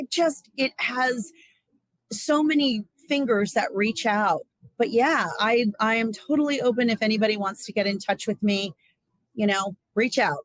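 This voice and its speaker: A woman speaks at a moderate pace in a fairly high pitch, somewhat breathy, with ordinary pitch variation. The sound is dry and close, without echo. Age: 60s. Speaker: Ayurveda practitioner and psychotherapy trainee. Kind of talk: interview.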